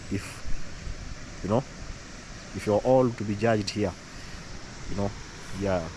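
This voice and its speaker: Speaking with an East African accent, a man with a fairly low pitch talks at a very slow pace, leaving long, frequent pauses. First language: Swahili. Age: young. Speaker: vlogger. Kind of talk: casual vlog commentary. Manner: halting, many repetitions and fillers.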